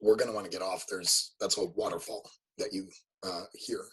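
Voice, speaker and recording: A man puts on a raspy character voice. He talks at a fairly quick pace. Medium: actual play. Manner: terse.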